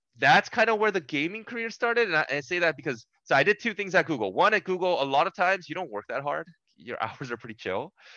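Very fast and high-pitched, a man talks in a Californian accent with very wide pitch swings and a bright, sharp tone. The sound is dry and close with no echo, over a quiet background. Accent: General American, Californian. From US West Coast, Los Angeles. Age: 30s. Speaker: esports executive. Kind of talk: interview conversation.

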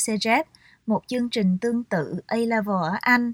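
Captured dry and close with no echo in a very clean recording over a silent background, a woman with a normal speaking voice speaks at a fairly high pitch with ordinary variation. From Vietnam, Saigon. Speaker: author. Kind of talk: reading aloud.

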